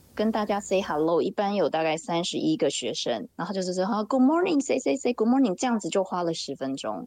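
A woman talks at a fairly quick pace with hardly any pauses. Her medium-pitched voice swings very widely in pitch. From Taiwan. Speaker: mother living abroad. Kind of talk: casual chat.

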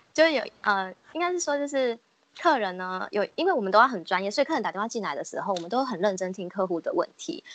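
Her voice fairly high, a woman races along at a very fast pace with very wide pitch swings. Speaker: customer service agent. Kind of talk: casual chat.

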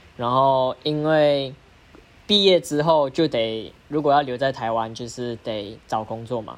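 Pitched at a medium level, a man with an unremarkable speaking voice talks with ordinary pitch variation. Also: fairly slow pace. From Malaysia. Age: 20s. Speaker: diabolo performer. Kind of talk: casual interview.

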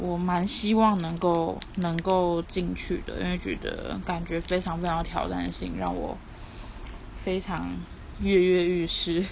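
A woman with a Taiwanese accent at a very slow pace, with audible room echo. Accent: Taiwanese Mandarin. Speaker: podcaster. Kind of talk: casual monologue. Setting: at home. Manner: weary, flat.

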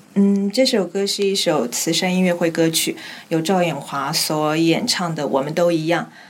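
A woman's fairly low voice at a moderate pace with ordinary pitch variation, music in the background. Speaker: radio drama actress, former trainee. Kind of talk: interview about her role. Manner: steady voice despite nerves.

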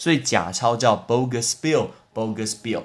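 With lively intonation, a man delivers his words in an animated tone. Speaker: podcast host, English teacher. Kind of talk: casual educational monologue.

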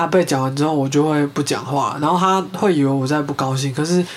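With a Taiwanese accent, the speaker moves at a fairly quick pace with ordinary pitch variation. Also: woman. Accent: Taiwanese Mandarin. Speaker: podcast host. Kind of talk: true crime storytelling; casual chat.

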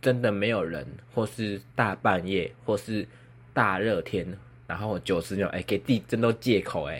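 Fairly low in pitch, a man's voice carries vocal fry. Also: ordinary pitch variation, moderate pace. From Taiwan, Kaohsiung. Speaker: podcaster. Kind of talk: casual solo chat. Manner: clear articulation today, no braces.

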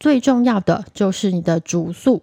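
Recorded very cleanly against a silent background, with a dry, close sound and no echo, a woman speaks in a dark, mellow tone at a medium pitch with ordinary pitch variation. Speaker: podcast host, Chinese medicine doctor. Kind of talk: casual solo podcast talk.

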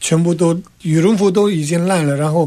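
With a Tibetan accent and a high pitch, a man speaks at a moderate pace over a quiet background. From Tibet, Lhasa. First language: Tibetan (speaking Chinese). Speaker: exile government civil servant. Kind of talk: radio interview.

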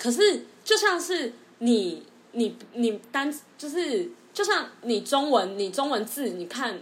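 Speaking at a very slow pace, a woman's high voice swings very widely in pitch. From Taiwan. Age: 20s. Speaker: former marketing worker, future UK grad student. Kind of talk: casual chat.

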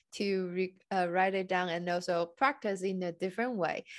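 A woman speaks at a moderate pace in an ordinary speaking voice, her pitch medium. The background is quiet. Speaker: podcast host and Chinese coach. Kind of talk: interview, casual conversation.

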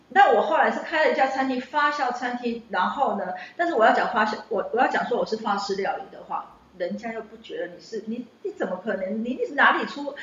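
With noticeable background noise behind her, a woman talks at a fairly quick pace in a high voice, her pitch swinging very widely and her loudness rising and falling sharply. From Taiwan. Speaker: chef and former teacher. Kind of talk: interview. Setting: on location recording. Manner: talkative.

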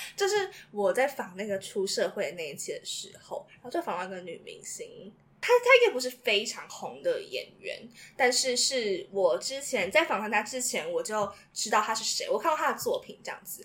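A woman's voice swings widely in loudness against noticeable background noise. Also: moderate pace. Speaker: university student. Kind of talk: casual chat.

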